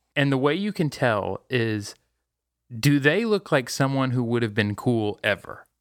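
A man with a normal speaking voice uses lively intonation at a medium pitch. The recording is very clean, with a silent background. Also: fairly slow pace. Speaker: podcast host. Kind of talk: casual chat.

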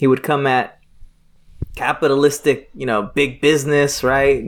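A man speaks in an ordinary speaking voice at a moderate pace. His pitch sits fairly high for a man. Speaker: nonprofit president and ministry trainer. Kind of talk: casual chat.

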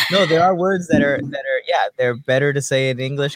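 A man talks at a fairly quick pace in an unremarkable speaking voice with fairly high pitch. The sound is dry and close, with no echo. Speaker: podcast host. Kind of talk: interview. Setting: video call.

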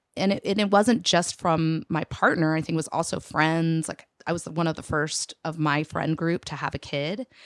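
In an American accent, a woman with a fairly low pitch and an unremarkable speaking voice talks at a moderate pace with fairly even intonation, in a dry, close sound with no echo. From Texas. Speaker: business owner, interview guest. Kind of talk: casual interview.

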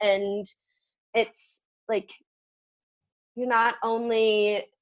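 A woman speaks with a Californian accent against a quiet background. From San Diego, California. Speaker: outdoor educator. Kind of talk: casual chat.

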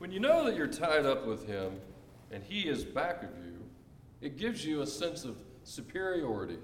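At a moderate pace, the speaker shows very wide pitch swings and big swings in loudness, with long, frequent pauses and noticeable background noise. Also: man, fairly high pitch for a man. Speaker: congregation member reading aloud. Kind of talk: reading aloud.

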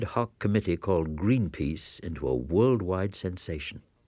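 Vocal fry and a dark, mellow tone, with very wide pitch swings at a moderate pace. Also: man. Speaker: radio host. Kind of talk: scripted narration.

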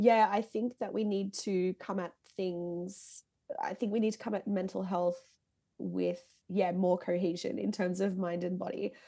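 A woman with an Australian accent, medium pitch, a dark, mellow tone, fairly even intonation and a moderate pace. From Singapore and Melbourne, Australia. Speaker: heavy band musician and music journalist. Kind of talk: casual chat.

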